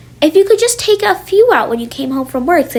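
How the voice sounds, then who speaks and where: A woman in a put-on character voice squeaks at an extremely high pitch, swinging very widely up and down at a fairly quick pace. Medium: read story. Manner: homely, folksy, plain-spoken.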